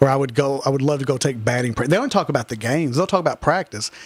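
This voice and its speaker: A man's fairly high voice with a Kentucky accent and ordinary pitch variation, over noticeable background noise. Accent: Southern US (Kentucky). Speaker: high school softball head coach. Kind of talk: radio interview. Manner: loud.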